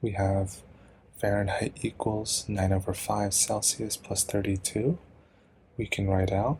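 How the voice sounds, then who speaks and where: Quiet and very even in loudness, a man with a fairly low pitch talks at a fairly slow pace with long, frequent pauses. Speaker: student tutor explaining chemistry. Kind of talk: tutorial. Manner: casual, hesitant.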